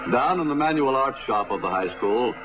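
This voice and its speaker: A man with a plain, everyday voice at medium pitch, lively intonation and a moderate pace. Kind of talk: newsreel narration.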